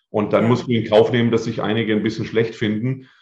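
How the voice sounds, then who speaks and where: Here a man talks in a medium pitch. His intonation is monotone and flat. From southern Germany, Lake Constance area. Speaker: memory and mental coach, speaker. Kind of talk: interview. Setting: video podcast.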